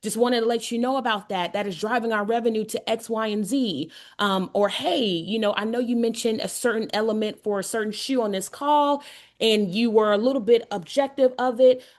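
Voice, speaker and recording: Over a quiet background, a woman with an ordinary speaking voice talks at a fairly quick pace, her pitch fairly high with ordinary variation. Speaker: shoe brand founder and workshop speaker. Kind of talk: workshop presentation.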